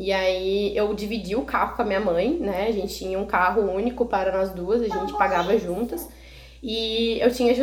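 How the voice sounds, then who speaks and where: A woman speaks with a fairly high pitch. There is audible room echo and noticeable background noise. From Rio Grande do Sul, Brazil (Canoas). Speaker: mother of a child with a rare disease. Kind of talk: casual interview.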